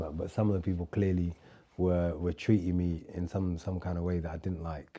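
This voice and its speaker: With a London accent, a man speaks at a moderate pace. His voice is very deep and low, with a dark, mellow tone. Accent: London English, multicultural London. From London, England. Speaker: podcast guest, expat. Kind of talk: casual chat. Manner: casual, hesitant with fillers.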